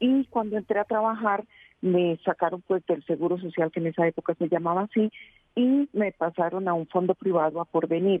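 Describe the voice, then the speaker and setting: A woman talks in a normal speaking voice at a medium pitch. Her pace is moderate, with very even loudness and ordinary pitch variation. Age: 60s. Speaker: caller. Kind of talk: phone-in question.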